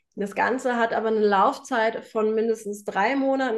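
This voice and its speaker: Speaking at a moderate pace, a woman has an unremarkable speaking voice. Her medium pitch keeps a fairly even intonation. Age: 30s. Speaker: home organization coach. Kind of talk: interview.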